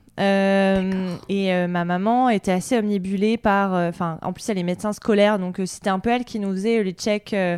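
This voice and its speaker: A woman speaks at a medium pitch and a moderate pace, with flat, monotone intonation and hardly any pauses. The recording is very clean, with a silent background. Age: 30s. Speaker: journalist and podcaster. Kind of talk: interview. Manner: hesitant, many fillers.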